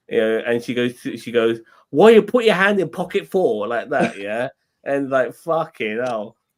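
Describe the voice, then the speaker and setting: In an English accent, a man with a fairly high pitch makes very wide pitch swings at a moderate pace, on a very clean recording with a silent background. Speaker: podcast co-host. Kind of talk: casual chat.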